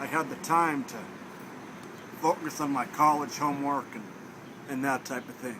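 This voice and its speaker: Against noticeable background noise, a man with an American accent and a fairly high pitch speaks at a moderate pace with fairly even intonation, big swings in loudness and long, frequent pauses. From Minnesota, Thief River Falls. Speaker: student at blindness training center. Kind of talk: interview. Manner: casual, with many fillers.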